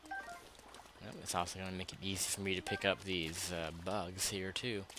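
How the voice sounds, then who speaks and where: This man's pitch is very deep and low, his pace moderate. Noticeable background noise runs underneath. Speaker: let's play gamer. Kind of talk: gameplay commentary. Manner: halting.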